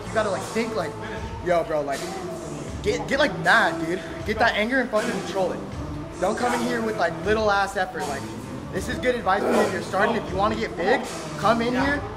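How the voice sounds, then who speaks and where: A man talks at a fairly quick pace over loud background music. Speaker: fitness vlogger. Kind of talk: casual vlog chat. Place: gym. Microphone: phone near.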